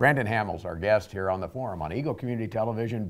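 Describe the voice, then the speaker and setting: A man with a plain, everyday voice speaks at a fairly quick pace, fairly low in pitch with ordinary pitch variation. The recording is very clean, with a silent background. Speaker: TV show host. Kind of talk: TV interview host.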